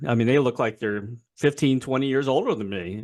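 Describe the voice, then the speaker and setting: Over a quiet background, a man with a medium pitch and lively intonation speaks in a plain, everyday voice. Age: 60s. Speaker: interview host. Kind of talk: interview. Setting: video call. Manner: casual.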